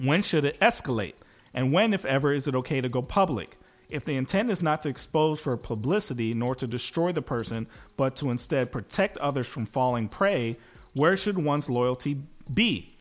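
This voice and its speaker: Energetic in tone, a man speaks at a moderate pace and a fairly high pitch with lively intonation. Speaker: podcast co-host. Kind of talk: radio DJ patter, upbeat show-return tag: hyping the return from break. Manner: punchy, energetic, crisp, radio-host cadence.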